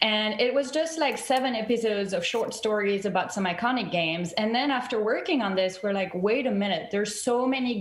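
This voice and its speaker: A woman with a strong French accent talks at a fairly quick pace and medium pitch with lively intonation, amid audible room echo and noticeable background noise. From France. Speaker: TV documentary director and producer. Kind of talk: interview on video call. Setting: video call.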